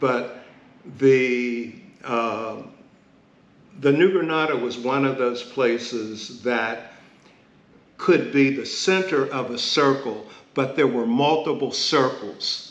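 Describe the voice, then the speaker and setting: Speaking in an American accent at a very slow pace, a man with a medium pitch and ordinary pitch variation leaves long, frequent pauses, with audible room echo around him. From Pittsburgh, Pennsylvania (Hill District). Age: 70s. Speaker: community elder and columnist. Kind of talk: oral history interview.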